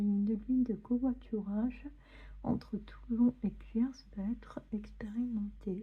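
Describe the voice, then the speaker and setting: Very slow and soft-spoken, the speaker takes their time. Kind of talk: ASMR magazine reading.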